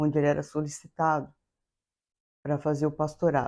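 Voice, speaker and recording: This is a woman speaking. The background is quiet. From Brazil, São Paulo state. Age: 70s. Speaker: interviewee. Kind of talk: life-story interview. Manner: halting.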